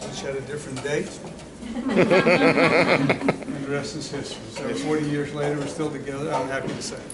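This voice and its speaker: A man's fairly high-pitched voice with ordinary pitch variation, amid audible room echo and noticeable background noise. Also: moderate pace. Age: 70s. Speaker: chef and restaurant co-owner. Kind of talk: interview.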